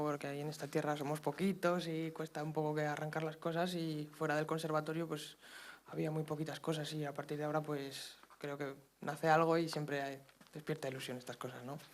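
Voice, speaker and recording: A man talks at a fairly quick pace, his pitch fairly high. His intonation stays monotone and flat. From Zaragoza, Spain. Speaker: wind musician. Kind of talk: interview. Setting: auditorium with live audience.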